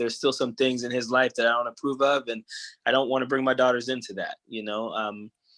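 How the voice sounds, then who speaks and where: In a dry, close recording with no echo, a man's medium-pitched voice has a bright, sharp tone and ordinary pitch variation. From New Orleans, Louisiana (US South), moved to California at 14. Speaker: TikTok creator, educator and coach. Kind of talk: podcast interview, personal story. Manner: halting, many fillers and restarts.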